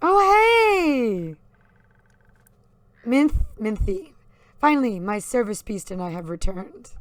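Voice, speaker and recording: Using a put-on character voice, a woman speaks at a fairly slow pace and fairly high pitch, with long, frequent pauses. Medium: game stream.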